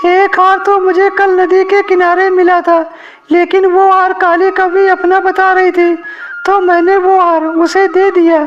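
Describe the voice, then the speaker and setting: A cartoonish character voice at an extremely high pitch speaks in a flat monotone at a moderate pace over clear background noise. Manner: earnest, polite.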